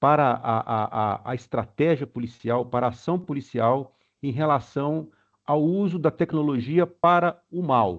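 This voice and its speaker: Speaking very slowly, a man with a slight Minas Gerais accent uses a fairly high pitch and ordinary pitch variation. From Brazil, Minas Gerais (Belo Horizonte). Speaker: webinar participant asking questions. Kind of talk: Q&A question at webinar. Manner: halting, many fillers.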